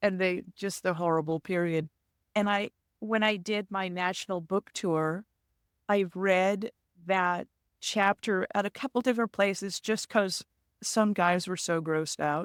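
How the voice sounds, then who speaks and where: In a very clean recording with a silent background and a dry, close sound with no echo, a woman with an unremarkable speaking voice talks at a fairly slow pace, with a medium pitch and fairly even intonation. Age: 60s. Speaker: author and motorcyclist. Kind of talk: casual interview.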